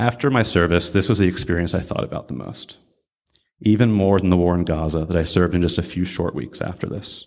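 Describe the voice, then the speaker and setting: A man with a very deep, low pitch and a Midwestern American accent, at a very fast pace with ordinary pitch variation, on a very clean recording with a silent background. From US Midwest (Columbus, Ohio). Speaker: army veteran and baker. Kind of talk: prepared talk at a religious service. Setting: room with live audience.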